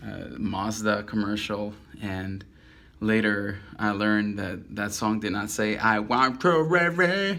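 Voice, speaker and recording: A man with a Spanish accent talks at a very slow pace, his pitch fairly low with ordinary variation. His tone is bright and sharp, and audible room echo surrounds it. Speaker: caricature artist. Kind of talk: casual self-introduction monologue. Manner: halting, many fillers.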